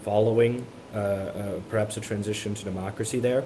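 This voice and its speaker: Against noticeable background noise, a man speaks in a fairly low pitch with monotone, flat intonation. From Miami, Florida. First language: Spanish. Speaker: college student. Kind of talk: interview. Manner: halting, many repeated words.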